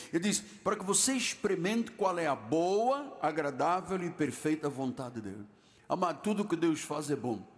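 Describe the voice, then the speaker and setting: A man speaks with a high pitch at a moderate pace. His pitch swings very widely. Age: 70s. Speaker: pastor. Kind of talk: sermon. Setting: church.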